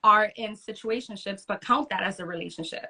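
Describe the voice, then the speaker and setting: Recorded dry and close with no echo, a woman with an unremarkable speaking voice talks fairly quickly at a fairly high pitch with ordinary pitch variation. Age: 30s. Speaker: podcast co-host. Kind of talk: casual chat. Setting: Instagram live broadcast.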